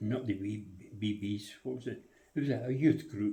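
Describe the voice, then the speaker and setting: A man's somewhat breathy, dark, mellow voice in a Scottish accent, fairly low in pitch with ordinary pitch variation, amid audible room echo. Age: 90s. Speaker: RAF veteran. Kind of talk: interview. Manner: halting, many hesitations.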